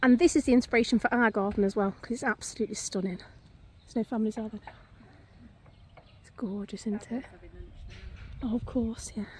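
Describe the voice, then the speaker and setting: A very fast pace broken by long, frequent pauses, with big swings in loudness, fairly even intonation and a somewhat breathy voice. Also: woman, fairly high pitch for a woman. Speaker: vlogger. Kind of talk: casual vlog walk-and-talk. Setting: outdoors.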